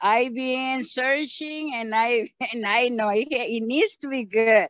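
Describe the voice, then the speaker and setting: A woman speaks at a very slow pace with a fairly high pitch. The sound is dry with no echo, and the background is quiet. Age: 70s. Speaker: medical clinic patient. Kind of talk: interview answer. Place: forest. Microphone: phone near.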